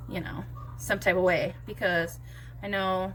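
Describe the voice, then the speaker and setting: A quiet woman talks at a moderate pace. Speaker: beauty vlogger. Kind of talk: casual makeup tutorial chat. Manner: quiet, subdued.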